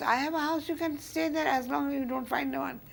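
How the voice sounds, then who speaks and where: Her pitch is high, and the woman talks at a fairly quick pace. Noticeable background noise runs underneath. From India, Bengal. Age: 80s+. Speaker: interview guest, elder recounting family history. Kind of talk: interview storytelling. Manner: halting, searching for words.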